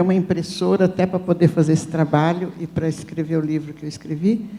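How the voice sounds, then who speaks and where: Flat, monotone intonation comes through over noticeable background noise. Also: woman. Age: 70s. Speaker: audience member. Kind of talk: audience question at panel. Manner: halting.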